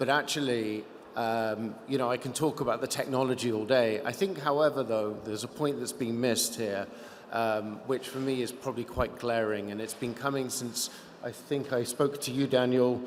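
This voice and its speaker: With noticeable background noise behind him, a man talks at a moderate pace and medium pitch, his intonation fairly even. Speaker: investor. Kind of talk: panel discussion.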